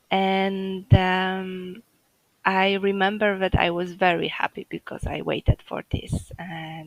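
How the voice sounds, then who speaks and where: A woman speaks with a Polish accent at a very slow pace. Her pitch is fairly low. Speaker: home birth mother sharing her story. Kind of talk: interview. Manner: halting, many fillers.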